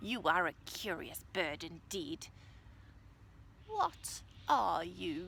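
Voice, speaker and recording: Using a put-on character voice, a woman speaks very slowly in a fairly low pitch. Long, frequent pauses break up her speech, and background noise is clear. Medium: read story.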